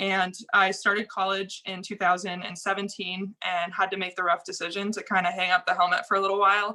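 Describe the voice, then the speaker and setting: At a fairly quick pace with hardly any pauses, a woman speaks at medium pitch in a monotone, flat way. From Maine. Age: 20s. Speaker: motocross race official. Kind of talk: podcast interview.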